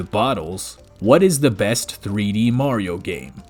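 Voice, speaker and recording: A fairly low male voice talks while music plays underneath. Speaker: gaming video creator. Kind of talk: scripted commentary. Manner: soft-spoken, talking quietly.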